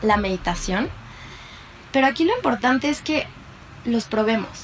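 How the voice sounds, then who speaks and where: Through noticeable background noise, a woman's fairly high pitch comes across. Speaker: psychologist and mindfulness teacher. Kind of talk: interview and guided meditation. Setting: remote recording. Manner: soft-spoken.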